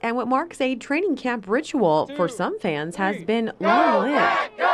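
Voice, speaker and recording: A woman with a normal speaking voice talks at a moderate pace and a fairly high pitch, with an American accent. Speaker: television news reporter. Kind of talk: broadcast news reporting.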